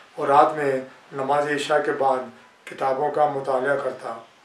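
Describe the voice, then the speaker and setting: Background noise is noticeable. Room echo can be heard as well. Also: man. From India, Rajasthan (Fatehpur Shekhawati). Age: 70s. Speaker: poet and writer. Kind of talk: autobiographical talk. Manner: formal.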